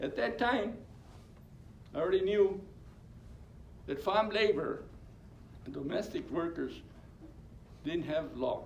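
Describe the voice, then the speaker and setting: A high-pitched man with very wide pitch swings, a fairly slow pace and long, frequent pauses, in a room with audible echo. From California Central Valley. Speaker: labor union co-founder. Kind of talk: oral history talk. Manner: halting, repetitive.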